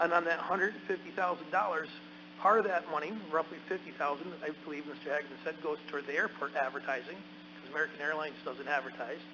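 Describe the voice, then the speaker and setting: Through noticeable background noise, a man talks at a very fast pace in a fairly high pitch. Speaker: county legislator. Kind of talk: council meeting debate. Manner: loud.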